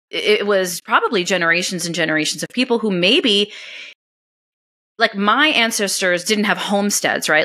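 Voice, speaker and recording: With a New York accent, a woman speaks at a moderate pace in a bright, sharp tone. Her voice sits at a medium pitch with ordinary pitch variation. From New York, US, Italian-American family. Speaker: homesteading blogger and podcaster. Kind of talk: interview conversation. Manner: animated.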